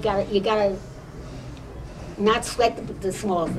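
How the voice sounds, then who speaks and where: A woman with an American accent speaks at a medium pitch and a fairly slow pace. Noticeable background noise runs underneath. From New York. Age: 80s+. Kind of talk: interview answer. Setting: quiet corner of a restaurant.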